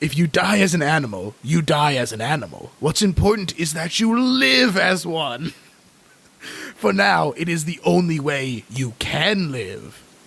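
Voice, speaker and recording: A man's put-on character voice, strained and gravelly, fairly high in pitch with very wide pitch swings, at a moderate pace. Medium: actual play. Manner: slow, solemn, cryptic.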